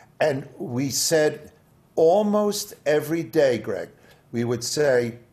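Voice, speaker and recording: The man's voice is somewhat breathy, with lively intonation. He speaks at a very slow pace. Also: fairly high pitch for a man. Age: 70s. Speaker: comedy writer and author. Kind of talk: interview.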